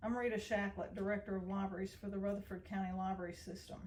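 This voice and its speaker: Speaking at a fairly quick pace with a Tennessee accent, a woman keeps a medium pitch and a monotone, flat intonation. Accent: Southern US (Tennessee). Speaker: library director. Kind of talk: prepared personal testimony.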